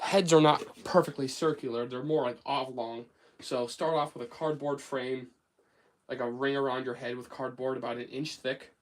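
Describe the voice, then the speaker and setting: With an American accent, a man speaks at a moderate pace in a medium pitch, his intonation fairly even but his loudness swinging widely. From United States. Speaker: craft livestreamer. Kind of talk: casual livestream chat and tutorial. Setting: home workshop livestream. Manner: casual, hesitant with fillers.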